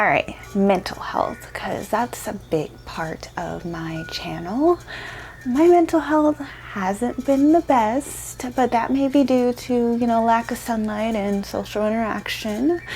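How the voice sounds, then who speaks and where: Noticeable background noise sits behind a woman who speaks very slowly in a fairly high voice with lively intonation. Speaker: lifestyle vlogger. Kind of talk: casual vlog talk to camera. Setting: at home, talking to camera. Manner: soft-spoken.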